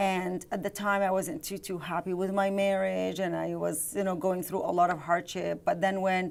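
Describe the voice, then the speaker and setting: Hardly pausing, a woman with an Arabic accent talks at a medium pitch and moderate pace with fairly even intonation. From Jordan. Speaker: real estate investor and author. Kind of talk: interview. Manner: hesitant, with frequent fillers.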